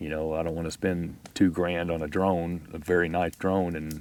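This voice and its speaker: A man with a very deep, low voice and an American accent talks at a fairly quick pace. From Texas. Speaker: outdoor video creator. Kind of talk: casual chat. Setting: outdoors at campfire.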